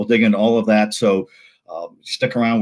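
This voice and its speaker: In an American accent, a man of medium pitch speaks at a very fast pace in an animated tone against a quiet background. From US West (Sacramento, California). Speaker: sports journalist and show host. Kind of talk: sports news talk show. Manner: animated, frequent fillers and repetitions. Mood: warm, light humor. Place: home room. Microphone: earbuds.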